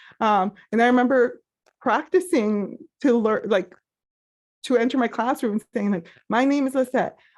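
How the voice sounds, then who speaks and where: With a Spanish accent, the speaker goes at a moderate pace with ordinary pitch variation and long, frequent pauses against a quiet background. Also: woman, high pitch for a woman. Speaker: therapist. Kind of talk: interview about mental health.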